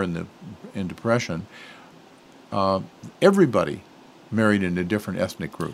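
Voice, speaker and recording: A man's fairly low-pitched voice. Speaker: radio interview host. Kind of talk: interview.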